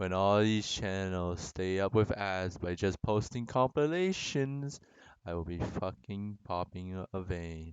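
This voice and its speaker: Someone speaks at a very slow pace with a non-native accent and ordinary pitch variation. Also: man. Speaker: anime reviewer. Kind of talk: casual review talk to camera. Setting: low-quality home mic.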